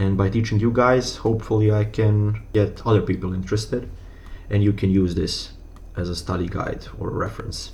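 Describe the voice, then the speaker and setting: A man's fairly low, monotone voice with a non-native accent, flat intonation, moderate pace and audible room echo. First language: not English. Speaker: educational YouTuber. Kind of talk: tutorial. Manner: halting, with fillers.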